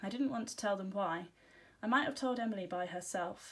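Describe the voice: Ordinary pitch variation in plain reading aloud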